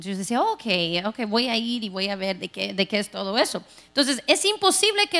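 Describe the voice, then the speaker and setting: A woman projects a raised voice with a bright, sharp tone and very wide pitch swings. She keeps a moderate pace against a quiet background. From Texas. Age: 40s. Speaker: pastor. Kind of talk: sermon. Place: church. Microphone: handheld.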